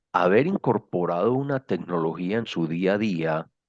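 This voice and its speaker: His voice sits very deep and low. The man talks very slowly. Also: quiet background. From Colombia, Medellín (paisa). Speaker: social innovation speaker. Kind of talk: lecture. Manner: hesitant, many fillers.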